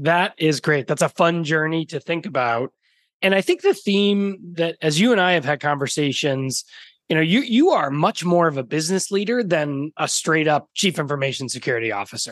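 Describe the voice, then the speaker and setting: At a moderate pace, a man speaks in a plain, everyday voice pitched fairly high. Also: lively intonation, dry, close sound with no echo. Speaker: podcast host. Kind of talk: casual interview chat.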